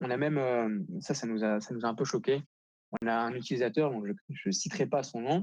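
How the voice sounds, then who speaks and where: A man speaks at a medium pitch and a fairly quick pace. His intonation is lively. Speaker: marketing director. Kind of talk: conference keynote. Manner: hesitant, many fillers.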